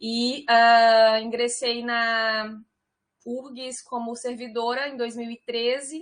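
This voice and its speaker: Speaking very slowly in a northeastern Brazilian accent, a woman holds a high pitch with monotone, flat intonation. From Piauí, northeastern Brazil. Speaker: civil engineer, university environmental department director. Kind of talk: online talk presentation.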